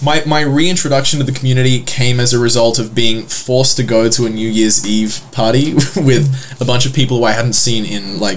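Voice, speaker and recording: Amid noticeable background noise and audible room echo, a man speaks at a fairly quick pace and medium pitch, with ordinary pitch variation and hardly any pauses. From Australia, Sydney. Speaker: political advocacy communications director. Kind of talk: podcast interview.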